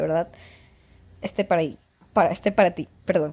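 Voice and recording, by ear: She has a dark, mellow tone and ordinary pitch variation.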